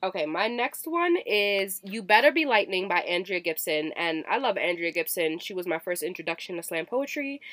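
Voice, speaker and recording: A woman at a medium pitch uses an ordinary speaking voice with lively intonation. She keeps a moderate pace with hardly any pauses. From Virginia, US South. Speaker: podcast co-host. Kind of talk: casual chat.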